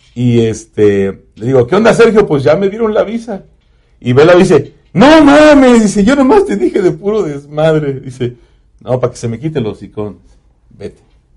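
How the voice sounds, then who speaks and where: A high-pitched man's voice at a moderate pace, full of very wide pitch swings. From Mexico, Puebla highlands. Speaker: radio announcer. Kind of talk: casual chat.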